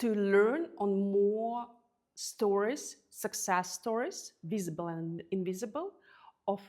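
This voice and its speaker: Speaking at a very slow pace, a woman with a non-native accent has a medium pitch, a dark, mellow tone and ordinary pitch variation. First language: not English. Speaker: podcast host. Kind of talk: interview answers, casual.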